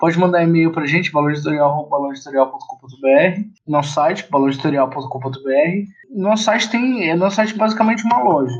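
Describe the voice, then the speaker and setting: A man with a fairly high pitch, lively intonation, a fairly quick pace and hardly any pauses. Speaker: publisher. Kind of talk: interview. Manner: fast.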